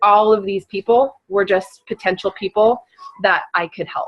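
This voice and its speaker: The speaker has an ordinary speaking voice. The delivery is at a moderate pace with fairly even intonation. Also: woman. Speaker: network marketing team leader. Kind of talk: team training call. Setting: group call. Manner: casual, many fillers (um).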